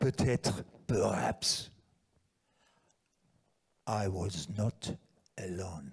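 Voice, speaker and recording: In a put-on character voice with a French accent, the speaker sounds raspy and talks very slowly with long, frequent pauses and ordinary pitch variation. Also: man, very deep, low pitch for a man. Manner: exaggerated, weird.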